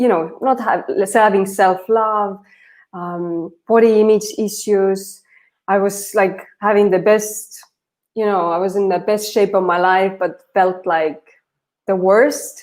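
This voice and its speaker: Very slowly and with fairly even intonation, a woman with medium pitch speaks in an Estonian accent. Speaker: transformation coach. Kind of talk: casual chat.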